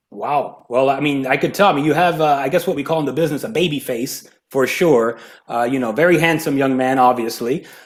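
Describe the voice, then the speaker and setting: This man speaks in a Miami accent at a fairly quick pace. His pitch is fairly high, with ordinary variation. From Hialeah, Florida. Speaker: podcast host. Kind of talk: interview. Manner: casual.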